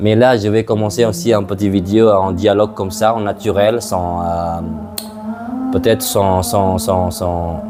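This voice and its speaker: With music in the background, a man in an Indonesian accent speaks fairly slowly at a fairly low pitch with ordinary pitch variation. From Indonesia, Madura island. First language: Madurese (speaking French). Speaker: tour guide and travel vlogger. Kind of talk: casual unscripted talk to camera. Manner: halting, many hesitations.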